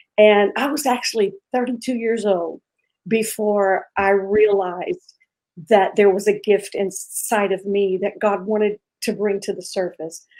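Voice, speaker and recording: Using a normal speaking voice, a woman talks at medium pitch. Her pace is fairly slow and her intonation fairly even. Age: 50s. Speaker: pastor. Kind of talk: interview testimony.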